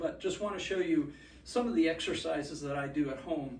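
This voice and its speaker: A man's fairly high pitch at a moderate pace, fairly even intonation, audible room echo and noticeable background noise. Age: 70s. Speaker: fitness presenter, former gymnast. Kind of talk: casual tutorial. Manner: halting.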